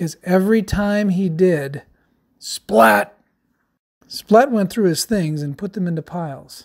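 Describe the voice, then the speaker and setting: The pace is fairly slow, and the recording is very clean with a silent background. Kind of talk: children's story read-aloud. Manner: dramatic, expressive.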